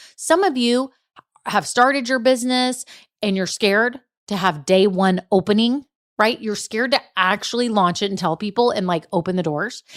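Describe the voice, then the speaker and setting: Lively intonation and an animated tone mark this voice with a slight Southern US accent. It moves at a moderate pace, with a dry, close sound and no echo. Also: woman, fairly high pitch for a woman. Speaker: business podcast host. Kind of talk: solo podcast monologue.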